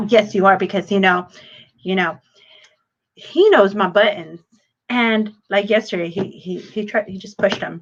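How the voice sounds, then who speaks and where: In an American accent, a woman speaks at a moderate pace and medium pitch with fairly even intonation. Her loudness swings widely, and she pauses long and often. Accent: Southern and Spanish-tinged English at times. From Texas, San Antonio. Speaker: channel co-host. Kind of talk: casual chat. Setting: livestream.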